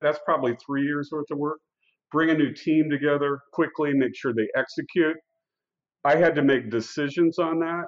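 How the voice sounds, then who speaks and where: This man has a Midwestern American accent and a fairly high pitch. He talks at a moderate pace with fairly even intonation. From US Midwest, Iowa. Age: 60s. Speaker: company CEO. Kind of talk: interview.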